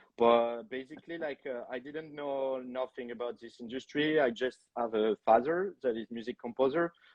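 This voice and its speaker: At a moderate pace with hardly any pauses, a man with a French accent speaks at a medium pitch with ordinary pitch variation and big swings in loudness. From France. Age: 30s. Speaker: film director. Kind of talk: podcast interview. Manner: hesitant, many fillers.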